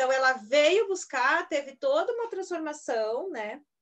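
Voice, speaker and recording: This woman talks at a fairly slow pace, her pitch swinging very widely. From Rio Grande do Sul, Brazil. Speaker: homeopath, podcast host. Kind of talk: casual chat. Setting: video call.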